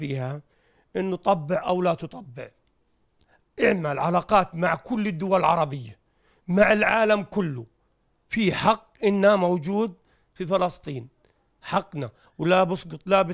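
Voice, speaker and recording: Against a quiet background, a man talks at a fairly slow pace with long, frequent pauses. His voice is high, with ordinary pitch variation. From Palestine. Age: 50s. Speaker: refugee interviewee; interviewee. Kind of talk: street interview. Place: home room. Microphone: handheld.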